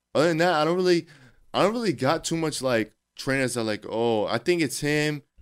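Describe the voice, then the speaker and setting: This man talks at a fairly quick clip in a fairly high pitch, with an unremarkable speaking voice. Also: lively intonation. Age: 20s. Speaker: personal trainer. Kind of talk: casual chat.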